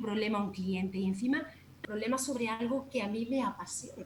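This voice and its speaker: Over noticeable background noise, a woman talks at a fairly quick pace, with lively intonation and a fairly high pitch. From Andalusia, Jaén province. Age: 40s. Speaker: natural cosmetics shop owner. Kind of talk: casual interview.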